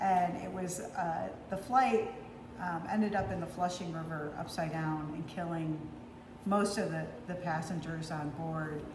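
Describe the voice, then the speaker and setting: A woman's fairly low voice at a moderate pace, with ordinary pitch variation, audible room echo and noticeable background noise. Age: 60s. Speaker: former FBI agent and cooking vlogger. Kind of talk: casual storytelling and cooking tutorial. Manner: halting, many fillers.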